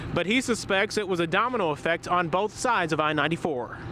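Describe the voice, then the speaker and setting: Over noticeable background noise, a man speaks with a high pitch. His tone is serious. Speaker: field news reporter. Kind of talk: live on-scene TV news report. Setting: outdoors at crash scene, windy. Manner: urgent, fluent, serious.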